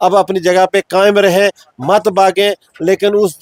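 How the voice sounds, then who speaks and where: A man's high-pitched voice in a dry, close recording with no echo. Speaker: former village head. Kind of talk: interview testimony.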